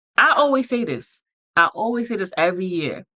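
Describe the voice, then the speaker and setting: A bright, sharp tone at a fairly slow pace, with a dry, close sound and no echo. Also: woman. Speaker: podcast host. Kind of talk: motivational podcast monologue. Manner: animated.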